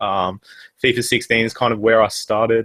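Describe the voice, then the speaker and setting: Fairly quick speech with an Australian accent and a bright, sharp tone, in a dry, close sound with no echo against a quiet background. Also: man. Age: 20s. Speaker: gaming YouTuber. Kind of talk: casual chat.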